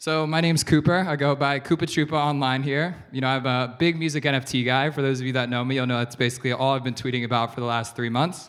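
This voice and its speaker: In a very clean recording with a silent background, a man with an American accent speaks at a very fast pace and medium pitch, with hardly any pauses. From USA. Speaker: investor. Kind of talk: keynote talk. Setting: stage with audience. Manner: animated.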